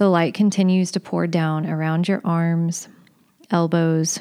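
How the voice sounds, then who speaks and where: A woman with a fairly low pitch and a dark, mellow tone speaks in a calm, soothing tone with monotone, flat intonation. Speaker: movement and meditation leader. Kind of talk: guided meditation. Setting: recorded podcast session. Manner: slow, calm, soothing; gentle, instructive pacing.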